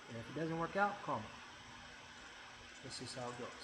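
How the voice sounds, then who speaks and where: Very fast speech from a man with very wide pitch swings, audible room echo and noticeable background noise. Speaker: real estate agent. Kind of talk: informal explainer video. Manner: halting, many fillers and repeats.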